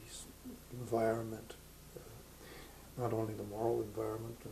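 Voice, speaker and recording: A man with a Canadian accent speaks at a medium pitch and a fairly slow pace, his intonation monotone and flat. Audible room echo and noticeable background noise fill the recording. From Ontario, Canada. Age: 70s. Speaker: retired pastor. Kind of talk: interview. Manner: halting, many fillers.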